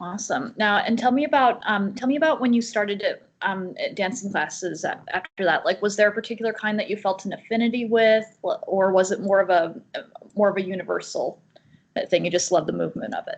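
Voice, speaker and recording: This woman has a normal speaking voice at medium pitch. She talks at a fairly quick pace with ordinary pitch variation. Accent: American. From Utah, US. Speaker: interviewer. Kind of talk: interview.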